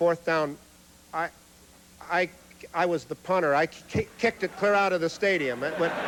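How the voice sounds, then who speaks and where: A man's high-pitched voice, fairly even in intonation, at a moderate pace with long, frequent pauses over noticeable background noise. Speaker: humorist. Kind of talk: stand-up comedy routine. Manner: stutters.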